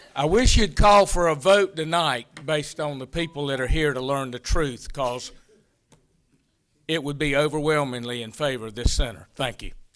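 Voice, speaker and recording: An unremarkable speaking voice, a man's fairly high-pitched one with an American accent, moves at a moderate pace with ordinary pitch variation and big swings in loudness. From North Carolina, Hoke County. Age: 60s. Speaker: public commenter at city council. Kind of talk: public comment speech.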